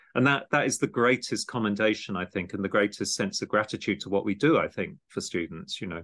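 A man with a southeast English accent speaks at a fairly quick pace and medium pitch. His pitch varies in an ordinary way over a quiet background. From Kent, England (Gravesend). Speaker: podcast host and art education program director. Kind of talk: casual interview chat.

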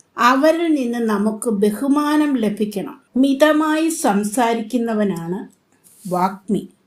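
A woman speaks in a normal speaking voice, fairly high in pitch with lively intonation. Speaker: retired teacher. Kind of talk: motivational talk.

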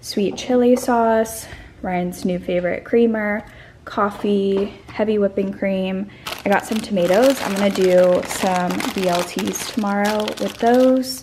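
Noticeable background noise sits under speech whose intonation stays fairly even. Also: woman. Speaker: vlogger. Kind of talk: casual vlog chat. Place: kitchen. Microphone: phone near.

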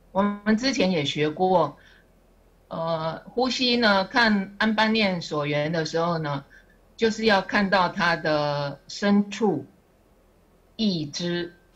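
A woman speaks at a very slow pace, leaving long, frequent pauses. Her voice is somewhat breathy, with ordinary pitch variation. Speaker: student sharing study. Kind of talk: class presentation. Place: classroom. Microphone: podium.

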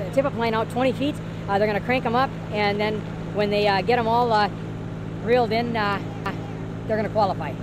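At a fairly quick pace, a man speaks in a dry sound with no echo, with noticeable background noise. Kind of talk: casual explanation to camera. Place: street. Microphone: camera far.

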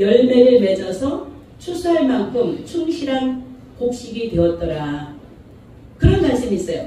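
In a room with strong echo, a woman speaks very slowly at a high pitch. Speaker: pastor. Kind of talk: sermon. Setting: church. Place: church. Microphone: microphone suddenly broken.

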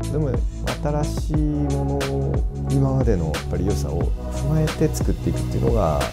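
Loud music plays in the background as a man speaks at a moderate pace. He leaves long, frequent pauses. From Fukuoka, Japan. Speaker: bartender. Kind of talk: interview answer. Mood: calm, warm, smiling. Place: bar.

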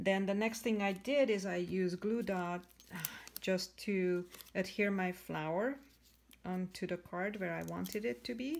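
Ordinary pitch variation from a woman speaking at a fairly slow pace. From Canada. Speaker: craft demonstrator. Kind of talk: tutorial. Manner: hesitant, many fillers. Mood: warm, enthusiastic.

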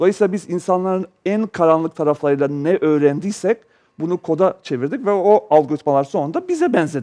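Against a quiet background, a man with a dark, mellow tone talks at a fairly quick pace. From Yugoslavia. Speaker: data technology expert; talk show guest. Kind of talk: TV panel discussion. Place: studio. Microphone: headset.

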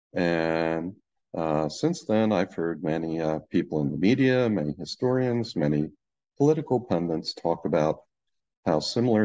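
A man's very deep, low voice, dark and mellow in tone, at a fairly slow pace. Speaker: presenter. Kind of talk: lecture. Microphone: webcam.

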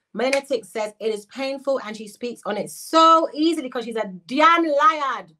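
This woman's voice is high, raised and projected, with a bright, sharp, animated tone. She talks at a fairly slow pace with lively intonation against a quiet background. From Jamaican British. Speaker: YouTuber, commentary livestreamer. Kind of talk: livestream commentary reacting to chat. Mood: indignant, accusing.

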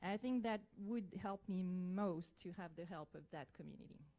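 Here a woman speaks with a French accent in a dark, mellow tone. Her pitch is medium, with ordinary variation, and her pace is moderate. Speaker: biology lecturer and parent. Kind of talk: public comment at school board meeting. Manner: halting, with hesitations.

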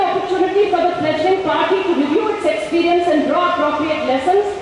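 Someone with an Indian accent talks at a moderate pace amid strong room echo and light background noise. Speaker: rally speaker reading resolution. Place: stage. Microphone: podium.

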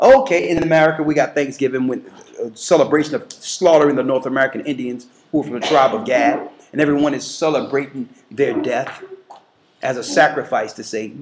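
A man speaks at a fairly quick pace with ordinary pitch variation over noticeable background noise. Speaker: church teacher. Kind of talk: sermon. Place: home room. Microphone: webcam.

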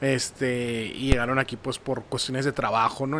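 Someone with a northern Mexican accent talks at a moderate pace over light background noise. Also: man. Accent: northern Mexican Spanish (Sonora). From Nogales, Sonora, Mexico; Sonora, Mexico. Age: 30s. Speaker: marketing professional; podcast guest. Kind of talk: casual interview. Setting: studio. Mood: calm, reflective storytelling. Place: studio. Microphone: studio mic.

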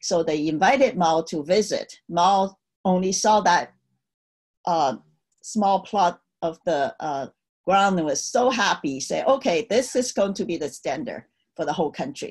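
A woman with a Chinese accent speaks with lively intonation against a quiet background. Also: fairly slow pace. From China, Tianjin; China. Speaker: Cultural Revolution survivor, speaker. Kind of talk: virtual talk, personal history. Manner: hesitant, many fillers. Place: home room. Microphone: webcam.

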